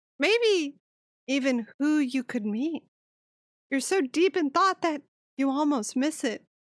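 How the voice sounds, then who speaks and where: A woman uses a squeaky, put-on character voice at a moderate pace, the sound dry and close with no echo. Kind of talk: dramatic narration reading. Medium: game stream.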